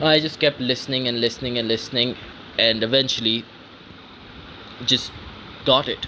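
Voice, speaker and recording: There is noticeable background noise. A man speaks in a medium-pitched voice. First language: not English. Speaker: vlogger. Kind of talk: casual monologue. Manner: halting.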